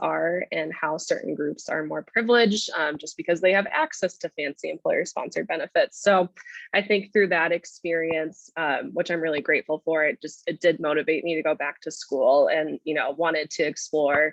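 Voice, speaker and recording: A woman with a Minnesota accent talks at a moderate pace with hardly any pauses. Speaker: graduate student. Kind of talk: panel presentation.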